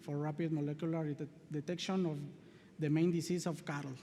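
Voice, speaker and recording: Speaking fairly quickly with a Spanish accent, a man has a dark, mellow tone and a fairly high pitch, with audible echo in the room. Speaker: veterinary researcher. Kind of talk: conference presentation and Q&A. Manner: halting.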